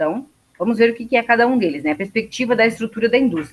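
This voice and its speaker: A woman's fairly high pitch with lively intonation. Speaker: university lecturer. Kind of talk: lecture. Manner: fast.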